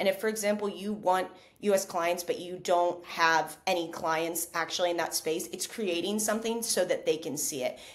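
A woman with an American accent speaks at a moderate pace with ordinary pitch variation. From United States. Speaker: digital nomad and content creator; content creator. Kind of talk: interview conversation.

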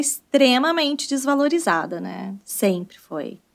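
A woman speaks against a quiet background. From Brazil, countryside. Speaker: English teacher and entrepreneur; English teacher. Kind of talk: casual interview. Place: studio. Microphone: studio mic.

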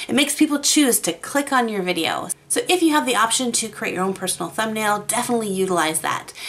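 A woman speaks at a very fast pace with very wide pitch swings and hardly any pauses. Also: fairly high pitch for a woman. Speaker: YouTube art creator. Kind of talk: tutorial. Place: home room. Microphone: studio mic.

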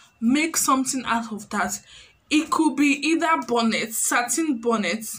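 In a Nigerian accent, a woman with a high pitch speaks at a fairly slow pace in an animated tone. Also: ordinary pitch variation. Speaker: YouTuber and tailor. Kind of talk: vlog tutorial talk. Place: home room. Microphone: phone near.

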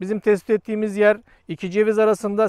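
Talking at a fairly quick pace, a man uses a high pitch, the sound dry with no echo. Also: quiet background. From Turkey. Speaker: geophysics company owner. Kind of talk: product presentation; promotional explanation to camera. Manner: hesitant fillers. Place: open country.

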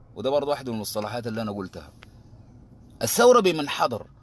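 A man's animated tone with lively intonation. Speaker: political activist. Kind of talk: political monologue. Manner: fast.

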